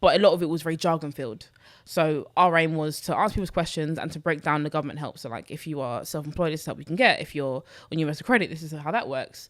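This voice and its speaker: The recording is very clean, with a silent background, as a woman speaks at a very fast pace. Her pitch is very deep and low, with ordinary pitch variation and big swings in loudness. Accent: London. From London, Newham. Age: 20s. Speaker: personal finance content creator. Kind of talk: podcast interview.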